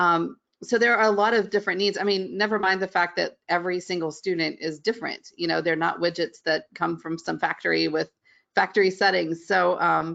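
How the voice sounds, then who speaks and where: With a slight Southern US accent, a woman speaks at a fairly quick pace and a fairly low pitch, with vocal fry and fairly even intonation against a quiet background. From West Virginia. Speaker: middle school art teacher. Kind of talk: webinar interview.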